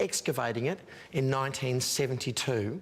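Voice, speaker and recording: The speaker talks with an Australian accent at a moderate tempo. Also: man. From Western Australia. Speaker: TV travel show presenter. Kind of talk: TV travel segment presenting and interview. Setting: museum gallery.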